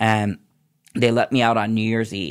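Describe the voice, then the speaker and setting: A man's unremarkable speaking voice, fairly low in pitch with fairly even intonation, in a very clean recording with a silent background. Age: 50s. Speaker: nurse practitioner in addiction recovery. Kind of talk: personal testimony.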